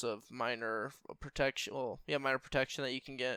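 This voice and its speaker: A man speaks at a fairly quick pace in a bright, sharp tone that is shaky, with ordinary pitch variation. The recording is very clean and the background silent. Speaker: gaming youtuber. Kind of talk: tutorial.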